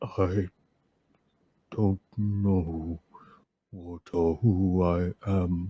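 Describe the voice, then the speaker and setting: A man does a put-on character voice, growling at a very deep, low pitch. He talks at a very slow pace, with long, frequent pauses. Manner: growling as it tries to remember.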